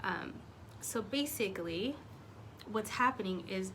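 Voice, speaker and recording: Audible room echo surrounds a woman speaking in a calm tone. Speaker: faith vlogger. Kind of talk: casual talk to camera.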